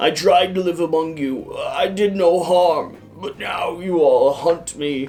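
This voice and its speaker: A man's croaky, high put-on character voice at a fairly slow pace, with faint music in the background. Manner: pleading, hunted.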